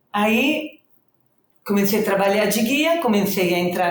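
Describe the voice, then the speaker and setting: In an Italian accent, a woman talks at a fairly slow pace with medium pitch. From northern Italy, Reggio Emilia. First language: Italian (speaking Portuguese). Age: 60s. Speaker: social project founder. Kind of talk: podcast interview.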